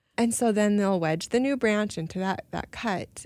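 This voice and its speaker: A woman with an American accent has an unremarkable speaking voice. She talks at a fairly slow pace with ordinary pitch variation. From Minnesota, US. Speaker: artist and illustrator. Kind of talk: interview.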